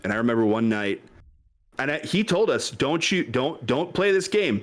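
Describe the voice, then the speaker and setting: A man with an American accent, at a medium pitch, with very wide pitch swings, in a very clean recording with a silent background. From West Michigan. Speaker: content creator guest. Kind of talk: casual chat.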